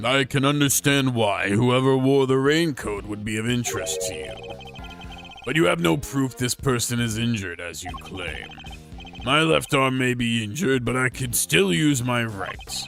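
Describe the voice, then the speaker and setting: Clear music plays behind a man doing a put-on character voice. He talks at a medium pitch and a moderate pace with lively intonation. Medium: game stream. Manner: smooth, overly polite.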